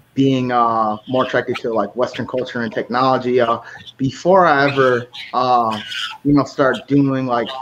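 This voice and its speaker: A man with an American accent talks at a moderate pace. His intonation is fairly even, and there is noticeable background noise. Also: medium pitch for a man. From United States. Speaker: podcast host. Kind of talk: casual chat. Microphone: distorted audio from recording platform.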